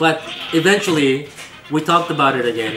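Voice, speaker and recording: Music in the background behind a man speaking, with audible room echo. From East Asia, moved to US as child. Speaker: streamer. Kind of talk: casual chat. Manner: halting.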